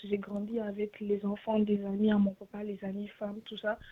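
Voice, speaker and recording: A woman's monotone, flat delivery at medium pitch and moderate pace, with noticeable background noise. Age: 20s. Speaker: caller. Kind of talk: call-in question.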